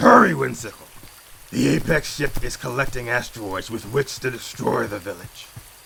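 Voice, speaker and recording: A man uses a put-on character voice at a medium pitch. He speaks at a moderate pace over clear background noise. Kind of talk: formal, archaic speech. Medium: machinima. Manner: solemn, measured, formal.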